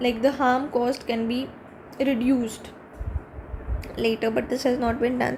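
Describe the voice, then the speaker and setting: A woman talks at a fairly quick pace in a high pitch with monotone, flat intonation, over noticeable background noise. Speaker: exam aspirant reviewing newspaper. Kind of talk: reading aloud with commentary. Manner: halting.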